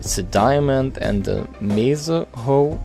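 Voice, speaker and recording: A man with a non-native accent and lively intonation, over music in the background. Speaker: gaming YouTuber. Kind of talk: game changelog walkthrough narration. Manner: casual, hesitant.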